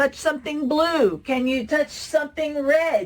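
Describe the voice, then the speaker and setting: A woman speaks in an animated tone at a fairly slow pace, her pitch high. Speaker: early childhood educator and presenter. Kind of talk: conference workshop presentation. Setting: online conference.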